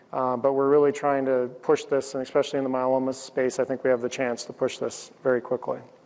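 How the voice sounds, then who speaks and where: A man at a very fast pace, fairly high in pitch. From Canada. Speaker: cancer researcher. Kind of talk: conference talk and panel Q&A.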